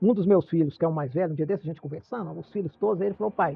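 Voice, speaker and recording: The speaker is a man. His intonation is lively. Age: 70s. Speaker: retired shopkeeper and collector. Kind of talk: interview. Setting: in his shop. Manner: halting.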